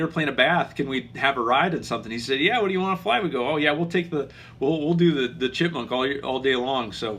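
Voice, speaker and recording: A man mumbling at a very fast pace. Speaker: aviation channel host, pilot. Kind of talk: casual live stream chat. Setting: live video stream. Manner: mumbling, halting with many fillers.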